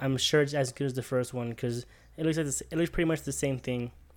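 A man speaks in an ordinary speaking voice at a fairly quick pace. His pitch is fairly high, with fairly even intonation. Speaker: podcast co-host. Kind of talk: casual chat. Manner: casual, friendly.

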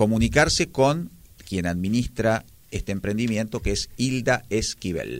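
Medium in pitch, a man with a Buenos Aires accent speaks at a fairly slow pace on a very clean recording with a silent background. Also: ordinary pitch variation. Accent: porteño Argentine Spanish. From Argentina, Buenos Aires. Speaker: literature lecturer. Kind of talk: radio interview. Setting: radio studio. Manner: formal.

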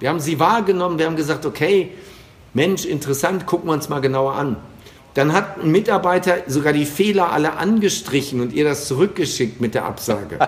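A man speaks at a fairly quick pace with a fairly high pitch and ordinary pitch variation. Noticeable background noise is present. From western Germany. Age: 50s. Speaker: sales trainer. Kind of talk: interview. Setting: remote call.

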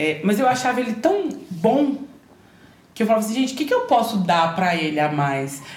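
Speaking at a moderate pace, a woman uses a fairly high pitch with very wide pitch swings. Audible room echo surrounds her voice. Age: 30s. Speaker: chef and entrepreneur. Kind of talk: personal testimony in interview.

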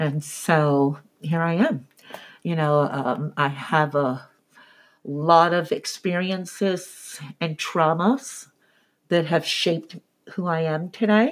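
In an American accent, a woman talks at a very slow pace in a fairly low pitch with long, frequent pauses. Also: ordinary pitch variation. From US, military bases. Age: 50s. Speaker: real estate agent. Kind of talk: interview.

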